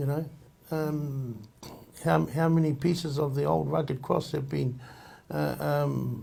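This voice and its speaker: A man with a medium pitch and a dark, mellow tone speaks at a fairly slow pace. His pitch swings very widely, and there is audible room echo. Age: 60s. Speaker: Māori community member. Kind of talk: group discussion. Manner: halting.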